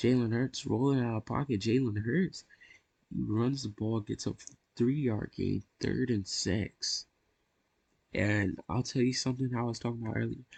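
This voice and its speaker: Recorded dry and close with no echo, a man with an unremarkable speaking voice talks at a moderate pace in a medium pitch with ordinary pitch variation. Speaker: gaming YouTuber. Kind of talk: gameplay play-by-play commentary.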